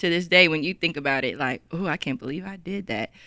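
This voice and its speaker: A woman with a Texas accent, medium pitch, and a bright, sharp tone, in a very clean recording with a silent background and a dry, close sound with no echo. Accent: city accent, Texas. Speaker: podcast co-host. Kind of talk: casual chat. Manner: animated.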